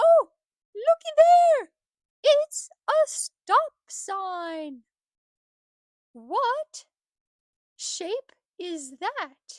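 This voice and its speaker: A woman's cartoonish character voice, extremely high in pitch, with very wide pitch swings, a very slow pace and long, frequent pauses. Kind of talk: children's educational puppet show. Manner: upbeat, playful.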